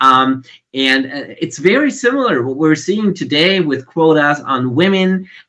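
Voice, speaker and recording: A fairly high-pitched man's voice, bright and sharp, with lively intonation. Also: fairly slow pace. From Germany. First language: German. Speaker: conference panelist. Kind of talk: panel discussion. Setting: video call. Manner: halting, many fillers and repetitions.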